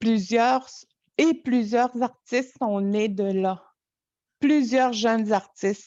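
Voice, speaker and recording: A woman with a dark, mellow tone and fairly high pitch speaks very slowly, with ordinary pitch variation and long, frequent pauses. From Quebec, Innu community of Natashquan. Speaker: storyteller. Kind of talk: interview conversation. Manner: halting.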